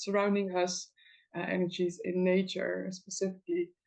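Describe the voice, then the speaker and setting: A woman speaks with a Dutch accent and fairly even intonation. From Netherlands. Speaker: folk magic practitioner and teacher. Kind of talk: interview. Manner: halting, many fillers.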